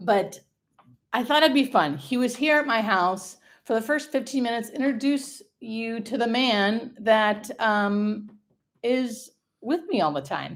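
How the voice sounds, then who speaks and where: With lively intonation and an animated tone, a woman speaks fairly slowly at a fairly high pitch. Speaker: hospice nurse, livestream host. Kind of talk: live stream casual chat. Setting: livestream from home. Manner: loud.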